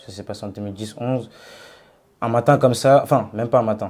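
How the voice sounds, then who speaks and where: On a very clean recording with a silent background, a man with a medium-pitched voice and a dark, mellow tone speaks with fairly even intonation. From Paris suburbs, Seine-Saint-Denis. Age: 20s. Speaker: former rapper turned cook. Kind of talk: interview.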